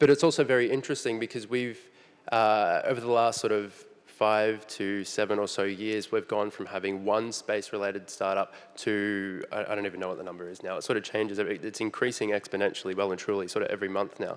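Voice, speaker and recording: A man with an Australian accent talks fairly quickly at a fairly low pitch with fairly even intonation. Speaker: space startup panelist. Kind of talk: panel discussion.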